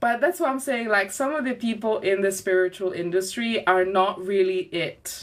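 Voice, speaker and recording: Speaking at a fairly slow pace, a woman keeps a medium pitch with ordinary pitch variation. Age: 30s. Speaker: podcast host and witch. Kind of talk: live podcast chat. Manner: animated.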